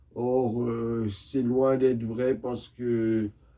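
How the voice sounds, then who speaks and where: Soft-spoken and very slow, a man speaks at a medium pitch with a dark, mellow tone and monotone, flat intonation. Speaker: YouTuber, religious commentator. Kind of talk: monologue rant. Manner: slow, soft-spoken.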